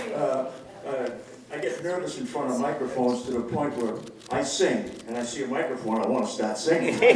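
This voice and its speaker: Speaking at a fairly quick pace, a man with medium pitch and ordinary pitch variation is heard through noticeable background noise and audible room echo. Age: 70s. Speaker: public commenter at a school meeting. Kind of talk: public comment. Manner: halting, many fillers.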